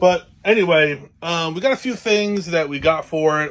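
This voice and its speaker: A man speaks in a New Jersey accent. His pitch shifts in an ordinary way. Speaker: RV vlogger. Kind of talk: casual how-to vlog. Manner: casual, hesitant with many fillers.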